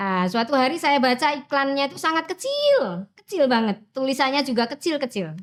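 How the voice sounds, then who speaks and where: Talking at a fairly quick pace with hardly any pauses, a woman uses a high pitch and lively intonation. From Central Java, Wonogiri. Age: 50s. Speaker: teacher. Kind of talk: personal interview storytelling. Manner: casual, with fillers.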